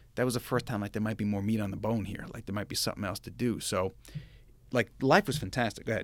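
A man speaks at a very fast pace with a fairly low pitch. His intonation stays fairly even. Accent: American. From Long Island, New York. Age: 40s. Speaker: finance executive. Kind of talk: interview testimony.

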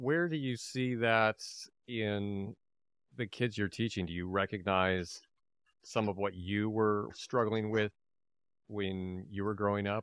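Man with a fairly low pitch and ordinary pitch variation, at a fairly slow pace with long, frequent pauses, over a quiet background. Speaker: podcast host and improviser. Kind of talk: casual interview chat.

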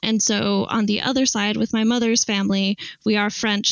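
At a moderate pace, a woman with an American accent speaks at a medium pitch with monotone, flat intonation. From Utah, US (Salt Lake City). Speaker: archaeology PhD student. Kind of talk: casual interview.

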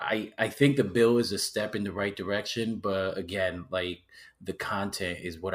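Fairly low in pitch, a man talks in an ordinary speaking voice at a moderate pace with fairly even intonation. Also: very clean recording, silent background. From Puerto Rico, then Waterbury, Connecticut from age eight. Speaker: local political candidate, military veteran. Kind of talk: casual interview.

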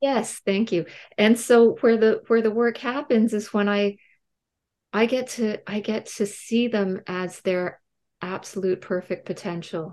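Against a quiet background, a woman with a fairly high pitch talks at a fairly slow pace with fairly even intonation. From Canada. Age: 50s. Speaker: medium. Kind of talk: interview. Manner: halting.

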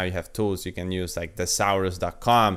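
A man talks fairly fast in a fairly low voice. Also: very clean recording, silent background. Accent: Polish. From Poland. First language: Polish. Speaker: podcast host, copywriter. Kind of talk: solo talk, advice monologue. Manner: halting, many fillers.

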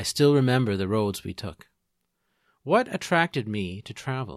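A man's normal speaking voice in a Canadian accent, medium in pitch, with lively intonation at a moderate pace, in a dry, close, very clean recording with no echo and a silent background. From Ontario, Canada (Peterborough). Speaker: podcast host. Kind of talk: scripted narration.

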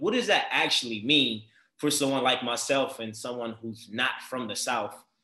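Someone with a Baltimore accent talks at a moderate pace. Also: man. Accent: Baltimore urban American English. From Baltimore, US. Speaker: podcast host. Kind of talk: casual interview conversation. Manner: animated, enthusiastic.

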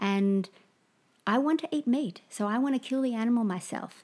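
With an Australian accent, a woman speaks in a dark, mellow tone on a very clean recording with a silent background. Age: 40s. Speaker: permaculture practitioner and artist. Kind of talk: casual chat.

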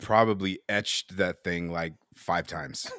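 A man's bright, sharp voice at a moderate pace with ordinary pitch variation, in a very clean recording with a silent background. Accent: American. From US West Coast, San Francisco Bay Area. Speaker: knife maker and podcast co-host. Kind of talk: casual chat.

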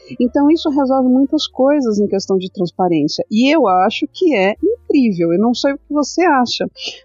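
Over music in the background, a woman talks at a high pitch and a moderate pace, with very wide pitch swings and hardly any pauses. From Brazil, São Paulo city outskirts. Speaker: crypto content creator and stake pool co-founder. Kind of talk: casual interview.

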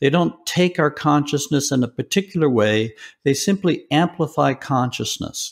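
Recorded very cleanly against a silent background, a man with an unremarkable speaking voice and an American accent talks at very even loudness, his fairly high pitch showing ordinary variation. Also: moderate pace. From US South. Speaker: philosopher of religion, professor. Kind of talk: interview.

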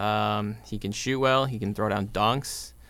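A man with vocal fry talks at a medium pitch and keeps his intonation fairly even. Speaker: podcast co-host. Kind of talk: casual sports podcast chat.

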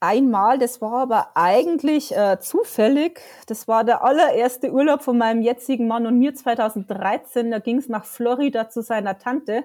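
In a Bavarian accent, a woman talks at a high pitch with ordinary pitch variation. Her pace is moderate, with hardly any pauses. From Bavaria, Lower Bavaria near Dingolfing. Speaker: freelance journalist and theme park fan. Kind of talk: casual interview. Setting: at home on couch, remote call.

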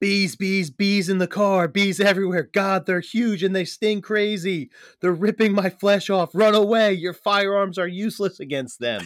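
A man shouting in a high-pitched put-on character voice, at a moderate pace with hardly any pauses. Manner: screaming, frantic.

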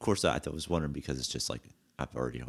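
A man speaks with a very deep, low pitch. His voice carries vocal fry. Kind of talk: casual chat. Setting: studio. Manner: casual, relaxed.

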